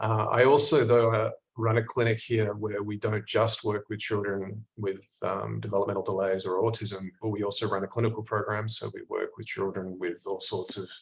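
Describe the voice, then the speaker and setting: With an Australian accent, a man talks in a fairly low, somewhat breathy voice, monotone and flat, with hardly any pauses. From Australia (Perth). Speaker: clinical psychologist. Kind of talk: online workshop presentation. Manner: fast; halting, many fillers and repeats.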